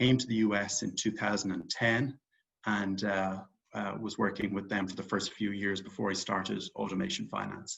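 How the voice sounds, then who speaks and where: Fairly low-pitched male speech at a moderate pace, with monotone, flat intonation and vocal fry. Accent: Irish. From Ireland, Dublin. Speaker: real estate investor and company founder. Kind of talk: interview.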